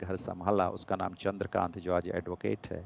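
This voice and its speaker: A man is speaking. He has a Gujarati accent. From India, Anuppur, Madhya Pradesh. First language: Gujarati (speaking Hindi). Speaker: poet. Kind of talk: interview.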